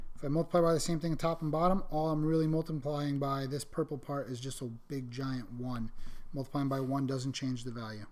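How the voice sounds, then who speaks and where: Audible room echo surrounds a man with a fairly high pitch. He talks at a fairly quick pace with fairly even intonation. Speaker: math teacher. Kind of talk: lecture. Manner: fast.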